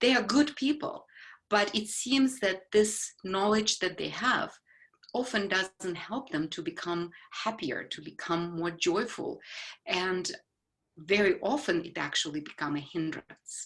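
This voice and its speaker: This woman has a medium pitch and lively intonation. She speaks at a fairly slow pace. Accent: Ukrainian. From Ukraine. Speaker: psychologist. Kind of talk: casual conversation. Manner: halting, with fillers.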